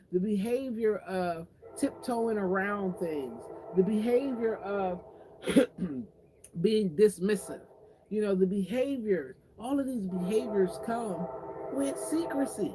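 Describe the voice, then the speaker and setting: Long, frequent pauses against noticeable background noise. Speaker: online talk show host. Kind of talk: motivational talk. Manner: fast, talkative.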